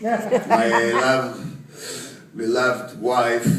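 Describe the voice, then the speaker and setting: Noticeable background noise plus audible room echo. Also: man. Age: 60s. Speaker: award recipient. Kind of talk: acceptance speech.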